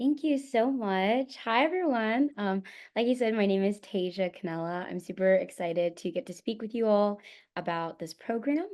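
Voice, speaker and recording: A woman with an American accent speaks at a moderate pace in a medium pitch. Hers is a normal speaking voice, and her intonation is lively. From Florida. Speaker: medical student. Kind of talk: webinar presentation.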